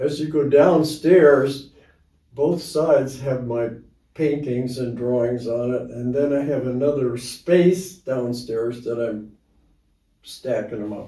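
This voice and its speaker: At a very slow pace, a man talks in a dark, mellow tone that is somewhat breathy. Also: medium pitch for a man, ordinary pitch variation. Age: 80s+. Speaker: amateur artist. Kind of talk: interview answer.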